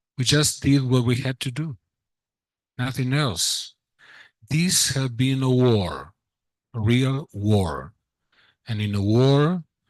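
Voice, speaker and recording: A man speaks at a very slow pace with long, frequent pauses, medium pitch and ordinary pitch variation. The background is quiet and the sound is dry and close with no echo. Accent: Spanish. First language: Spanish. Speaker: doctor. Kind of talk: conference remarks. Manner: halting.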